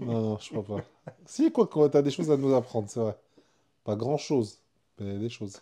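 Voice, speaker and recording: At a moderate pace, a man with a medium pitch and a dark, mellow tone speaks with ordinary pitch variation, big swings in loudness and long, frequent pauses. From France, Algerian family. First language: Algerian Arabic (speaking French). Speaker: podcast co-host. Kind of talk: casual chat. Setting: apartment room, recorded podcast.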